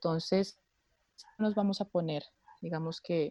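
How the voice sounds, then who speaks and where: A woman speaks in a dark, mellow tone at a moderate pace with fairly even intonation. The sound is dry and close, with no echo. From Bogotá, Colombia. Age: 20s. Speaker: political scientist. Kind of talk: panel discussion.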